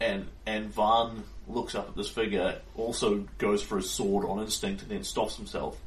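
In a natural voice, the speaker reads aloud.

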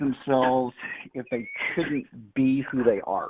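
A man with an American accent, very slow pace and ordinary pitch variation. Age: 50s. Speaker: firearms and self-defense trainer, retired sheriff's deputy. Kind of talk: casual interview.

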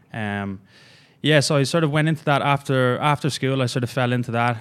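Recorded very cleanly against a silent background, a man with an Irish accent speaks with fairly even intonation. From Ireland. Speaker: fitness coach. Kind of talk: casual chat. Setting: studio.

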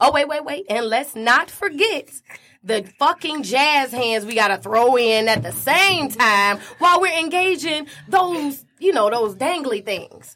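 A woman with an American accent projects a raised, high-pitched voice at a fairly slow pace, her pitch swinging very widely. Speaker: stage performer. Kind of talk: casual interview.

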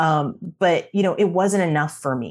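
Amid noticeable background noise, a woman with an American accent speaks with ordinary pitch variation. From North Carolina. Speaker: brand strategist and author. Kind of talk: interview.

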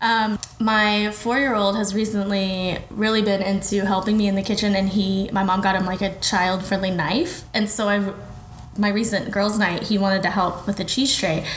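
Amid noticeable background noise and audible room echo, a voice with an American accent speaks at a moderate pace, monotone and flat, with very even loudness. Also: woman, medium pitch for a woman. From Oklahoma (Kingfisher). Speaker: food blogger. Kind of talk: casual interview. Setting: studio.

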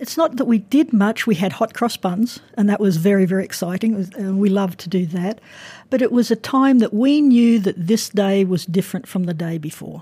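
A woman with an Australian accent, fairly quick, medium-pitched, dark and mellow in tone, somewhat breathy, with ordinary pitch variation on a very clean recording with a silent background. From Brisbane, Australia. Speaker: university professor. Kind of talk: lecture-style interview.

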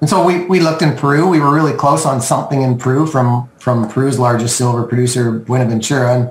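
Speech in a Western Canadian accent runs very fast with hardly any pauses, very even loudness and ordinary pitch variation, over noticeable background noise. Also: man, medium pitch for a man. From Canada (Okanagan, British Columbia). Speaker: mining company chairman. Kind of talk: business interview.

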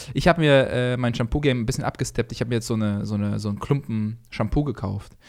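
The speech moves at a very fast pace with hardly any pauses. Pitch variation is ordinary. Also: man, medium pitch for a man. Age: 20s. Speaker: comedian and podcast co-host. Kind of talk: casual chat.

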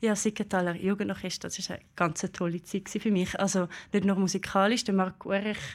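A woman with an unremarkable speaking voice talks at medium pitch and a moderate pace with fairly even intonation, in a very clean recording with a silent background. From Switzerland, Aargau (Brugg). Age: 20s. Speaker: bassoonist and music lecturer. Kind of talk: live talk show interview. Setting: stage with live audience.

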